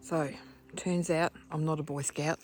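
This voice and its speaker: Music plays in the background. Over it, a woman talks at a fairly low pitch. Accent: Australian. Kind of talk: casual vlog narration. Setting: outdoors in a forest.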